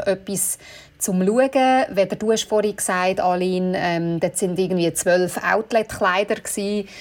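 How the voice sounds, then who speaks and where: A woman with medium pitch speaks in a normal speaking voice. She keeps a moderate pace and fairly even intonation. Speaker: bridal shop owner. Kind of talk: casual chat.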